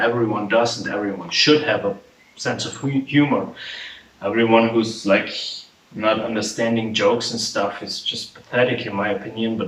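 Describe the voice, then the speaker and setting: With noticeable background noise, a man with an Austrian accent talks at a moderate pace in a medium pitch and fairly even intonation. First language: German. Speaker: vlogger and musician. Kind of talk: casual vlog monologue. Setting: home apartment. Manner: casual, filler-heavy, swearing-laced.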